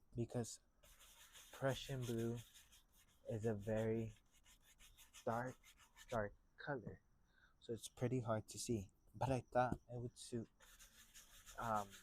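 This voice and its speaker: A quiet man speaks at a medium pitch and a fairly slow pace, with long, frequent pauses. The sound is dry and close with no echo. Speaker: painting instructor. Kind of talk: tutorial. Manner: loud; trying to speak more quietly.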